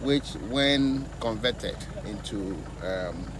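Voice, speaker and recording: The recording has noticeable background noise but a dry sound with no echo. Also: man. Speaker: politician visiting a project site. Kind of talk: interview answer. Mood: concerned, critical. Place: open country. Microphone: lapel.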